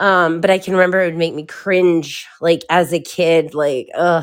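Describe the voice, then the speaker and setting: Here is a woman with an ordinary speaking voice and fairly low pitch. She speaks at a fairly slow pace on a very clean recording with a silent background. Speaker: co-host. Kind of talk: casual chat.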